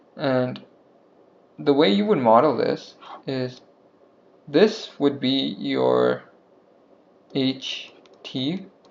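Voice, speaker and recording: Noticeable background noise sits under speech delivered at a very slow pace with long, frequent pauses. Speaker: student explaining math lesson. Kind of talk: tutorial. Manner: casual, hesitant with filler words; slightly slurred.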